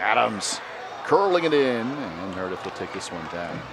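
There is noticeable background noise behind a man speaking at a moderate pace. His pitch swings very widely. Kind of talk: live sports commentary (match play-by-play). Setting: stadium broadcast.

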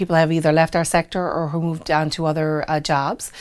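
The woman's pitch is fairly low. She speaks at a fairly quick pace against a quiet background. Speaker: restaurant owner. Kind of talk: interview answer. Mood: warm, friendly, smiling at times. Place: studio.

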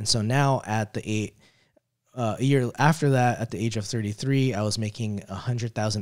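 Over a quiet background, a man has an unremarkable speaking voice. His pitch is fairly low and his pace moderate. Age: 30s. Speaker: network engineer and tech video host; tech video host. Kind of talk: live stream talk. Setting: live stream. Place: home room. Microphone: studio mic.

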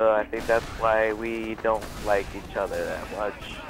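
Medium pitch from a man speaking at a moderate pace, noticeable background noise behind him. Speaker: gaming youtuber. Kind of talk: gameplay commentary. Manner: halting.

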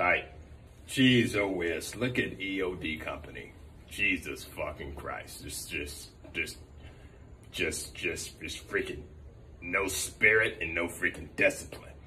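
A man puts on a character voice, speaking at a fairly slow pace with long, frequent pauses. Background noise is clear throughout. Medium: role play. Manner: loud, exasperated.

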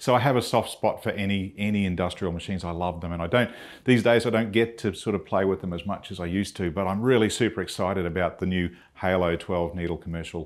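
Over a quiet background, a man with a very deep, low voice talks at a very fast pace with fairly even intonation. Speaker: presenter. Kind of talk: product presentation. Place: studio. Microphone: lapel.

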